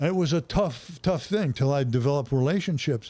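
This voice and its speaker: Over a silent background in a very clean recording, a man's somewhat breathy voice carries a dark, mellow tone. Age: 80s+. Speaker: retired football coach. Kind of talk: casual interview storytelling.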